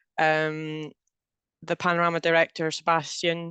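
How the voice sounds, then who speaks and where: Against a quiet background, a woman with a Scottish accent speaks at a fairly low pitch, the sound dry and close with no echo. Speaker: programme manager, webinar host. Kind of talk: webinar presentation. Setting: video call webinar.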